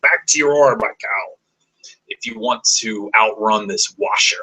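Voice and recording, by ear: Putting on a raspy character voice, a man speaks at a fairly high pitch and a fairly slow pace.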